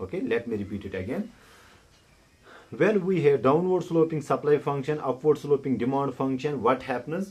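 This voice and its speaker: Somewhat breathy, a man with a non-native accent speaks at a moderate pace and a fairly high pitch, his intonation lively. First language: not English. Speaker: economics tutor. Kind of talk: tutorial. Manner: halting.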